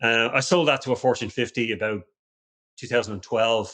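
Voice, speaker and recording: With an Irish accent, a man speaks at medium pitch and a fairly quick pace. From Ireland. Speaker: security company founder, ex-special forces. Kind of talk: podcast interview. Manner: halting, many repetitions.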